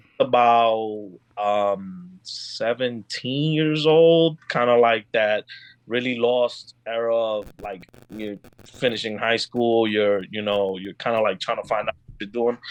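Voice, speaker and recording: In a New York accent, the speaker goes at a very slow pace with ordinary pitch variation and big swings in loudness. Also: man, medium pitch for a man. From Dominican Republic, then Bronx, New York. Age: 30s. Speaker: podcast guest. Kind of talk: casual chat. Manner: halting, many fillers.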